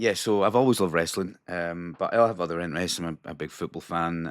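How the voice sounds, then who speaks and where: The speaker is a man with a Caithness accent and a very deep, low pitch. The recording is very clean, with a silent background. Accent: Scottish Highlands (Caithness). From Scotland, Wick (Caithness). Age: 30s. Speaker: pro wrestler and train conductor. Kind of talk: casual chat.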